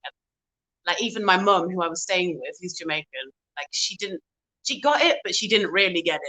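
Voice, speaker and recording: With a British accent and a bright, sharp tone, a woman speaks at a fairly quick pace in a medium pitch with ordinary pitch variation, big swings in loudness and long, frequent pauses, in a dry, close sound with no echo. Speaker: singer and pianist. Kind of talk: interview.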